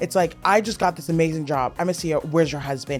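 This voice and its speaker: Over music in the background, a woman talks at a fairly quick pace with a fairly low pitch. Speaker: creator and political strategist. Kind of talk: podcast guest conversation.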